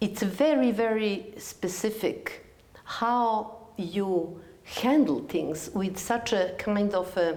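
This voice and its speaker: A woman speaks very slowly at a medium pitch, with audible room echo. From Serbia, Belgrade. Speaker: TV interviewer. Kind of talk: interview.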